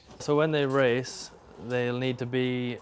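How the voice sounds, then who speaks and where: A man with a South Wales accent, medium pitch and a flat, monotone delivery. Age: 20s. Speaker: greyhound trainer. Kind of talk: casual interview talk. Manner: halting.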